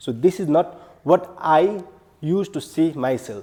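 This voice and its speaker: Lively intonation runs through this dark, mellow voice with a Nepali accent. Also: man. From Nepal, far western region. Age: 20s. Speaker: public speaking club member. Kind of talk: prepared speech.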